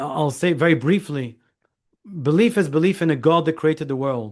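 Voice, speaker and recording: A man with a Scottish accent speaks at a fairly quick pace. His pitch is fairly high, with ordinary variation. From Scotland. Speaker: lawyer and author. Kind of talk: interview. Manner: halting.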